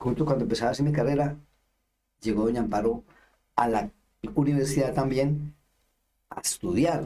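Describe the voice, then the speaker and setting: With a dark, mellow tone and a fairly high pitch, a man talks at a fairly quick pace, showing ordinary pitch variation and long, frequent pauses. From Colombia, Antioquia. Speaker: lay missionary. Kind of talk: interview testimony. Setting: radio interview.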